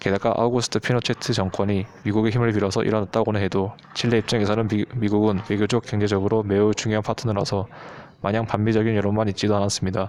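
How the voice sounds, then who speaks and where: Very fast delivery comes from a man with a fairly low pitch. His intonation is flat and monotone, and his loudness stays very even. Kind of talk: explainer narration on current affairs.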